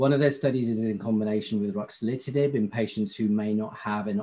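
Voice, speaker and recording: Dark, mellow tone in a British accent, at a fairly quick pace with ordinary pitch variation. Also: man. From UK. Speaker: pharmaceutical company medical affairs representative. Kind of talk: industry presentation.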